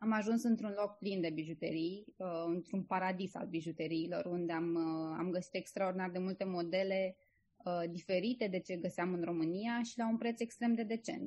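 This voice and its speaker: This woman's voice is pitched in the medium range. She keeps a moderate pace, and her pitch moves in an ordinary way. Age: 30s. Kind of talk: interview. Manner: hesitant, many filler sounds.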